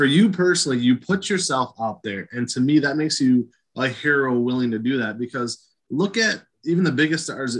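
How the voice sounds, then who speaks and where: In a normal speaking voice, a man talks fairly fast, his pitch varying in an ordinary way. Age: 40s. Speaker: wrestling podcast host. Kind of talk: interview.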